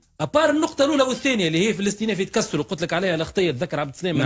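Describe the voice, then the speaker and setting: A man's voice against a quiet background. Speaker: radio guest. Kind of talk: interview answer. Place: studio. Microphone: studio mic.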